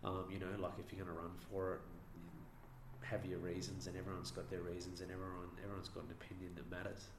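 With an Australian accent, a man talks very fast with hardly any pauses, his very deep, low pitch showing ordinary variation. Audible room echo surrounds his voice. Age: young. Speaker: local councillor. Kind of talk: interview. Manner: halting.

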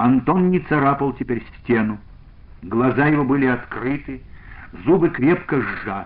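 Someone reads aloud in an unforced voice.

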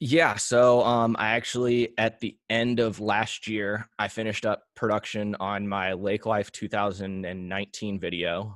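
A man with an unremarkable speaking voice talks at a fairly slow pace with hardly any pauses, fairly low in pitch and fairly even in intonation, in a very clean, dry, close recording with a silent background and no echo. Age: 20s. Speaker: content creator. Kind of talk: interview.

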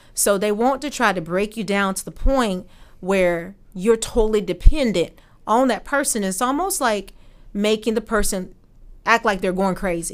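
A woman talks at a moderate pace in a normal speaking voice, fairly high in pitch. Her pitch variation is ordinary, and the recording is very clean with a silent background. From Norfolk, Virginia. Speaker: victim advocate. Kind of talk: interview.

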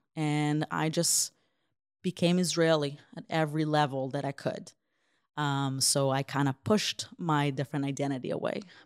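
In a very clean recording with a silent background and a dry, close sound with no echo, a woman with a very deep, low pitch speaks at a moderate pace with fairly even intonation. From Israel, after early childhood in Ukraine. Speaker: humanitarian aid worker. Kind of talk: interview.

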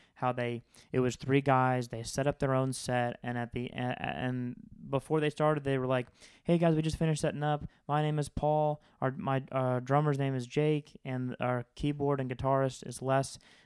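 In a normal speaking voice with an American accent, the speaker keeps a moderate pace and fairly even intonation. The recording is very clean and dry, close with no echo, against a silent background. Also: man, medium pitch for a man. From Florida. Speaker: podcast host. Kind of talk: casual chat.

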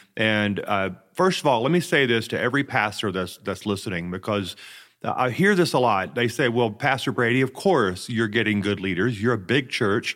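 An unremarkable speaking voice moves at a moderate pace with lively intonation in a very clean recording over a silent background. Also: man, medium pitch for a man. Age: 50s. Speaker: senior pastor. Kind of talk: interview.

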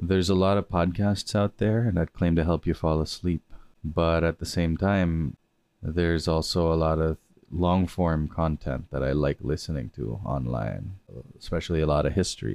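A man speaks with a very deep, low pitch. His loudness stays very even. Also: ordinary pitch variation, moderate pace. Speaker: podcast host and sleep-aid lecturer. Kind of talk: calming educational talk meant to help listeners sleep.

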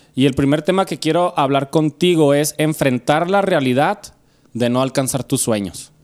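This man, in a Mexican accent, has a fairly high pitch and ordinary pitch variation. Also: moderate pace. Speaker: podcast host. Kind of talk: casual chat. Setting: home studio.

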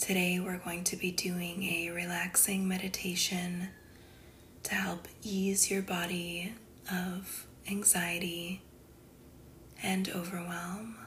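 Very slow and soothing, gentle in tone, a woman speaks at a medium pitch with monotone, flat intonation and long, frequent pauses. Noticeable background noise is present. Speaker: wellness podcast host and esthetician. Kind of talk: guided meditation. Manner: soothing, slow and gentle, with a calm, unhurried pace; warm and affectionate, addressing listeners as 'goddess'.

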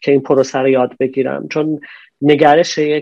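A man's fairly high voice with a dark, mellow tone. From Iran, Najafabad near Isfahan. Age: 40s. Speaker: businessman, importer and exporter. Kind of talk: interview conversation. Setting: online call.

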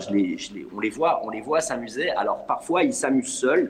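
A man talks at a moderate speed while background noise is clearly audible. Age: 40s. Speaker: acting coach. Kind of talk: panel discussion. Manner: halting, many repetitions.

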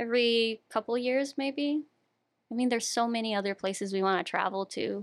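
An unremarkable speaking voice moves at a fairly quick pace with ordinary pitch variation and very even loudness, in a dry, close sound with no echo. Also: woman, fairly high pitch for a woman. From US, Brazilian immigrant community. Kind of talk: casual chat.

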